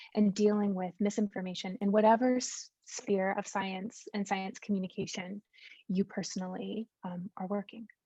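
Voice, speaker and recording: In a dry, close sound with no echo, a woman with an American accent speaks at a moderate pace in a medium-pitched, somewhat breathy voice with a dark, mellow tone and monotone, flat intonation. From United States. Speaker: science communicator. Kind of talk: conference talk. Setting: video call.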